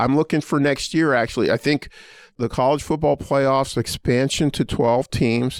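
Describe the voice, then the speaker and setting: A man with an American accent and an ordinary speaking voice, fairly high in pitch, at a moderate pace with fairly even intonation and very even loudness, on a very clean, dry, close recording with a silent background and no echo. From Pittsburgh, US. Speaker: law school dean. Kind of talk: interview.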